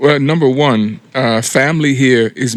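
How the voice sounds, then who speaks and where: With an American accent, a man speaks at a fairly slow pace, his medium-pitched voice fairly even in intonation. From US, South Jersey. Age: 60s. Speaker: expat, retired chef. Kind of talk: interview.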